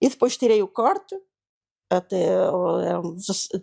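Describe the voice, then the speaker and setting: A woman with a dark, mellow tone talks fairly slowly. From Portugal, Beira Interior (Malpique, near Belmonte). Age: 80s+. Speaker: seamstress, interviewee recalling 1974 revolution. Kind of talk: oral history interview. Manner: halting, many hesitations and repetitions.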